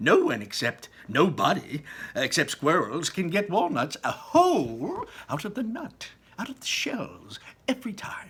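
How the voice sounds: A man puts on a character voice that is fairly high, fairly bright and husky with a rough edge. He goes at a fairly slow pace with very wide pitch swings.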